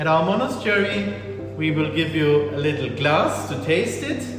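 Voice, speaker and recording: With music in the background and audible room echo, a man with a German accent speaks at a fairly slow pace in a fairly high pitch with lively intonation. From southern Germany, near Stuttgart. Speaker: monk and priest, tour guide. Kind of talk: guided tour. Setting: indoors and outdoors at a monastery.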